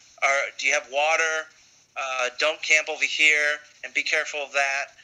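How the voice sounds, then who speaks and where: Over noticeable background noise, a man speaks in a fairly high pitch with monotone, flat intonation. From United States, Puerto Rican family. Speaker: cycle tourist. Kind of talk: interview.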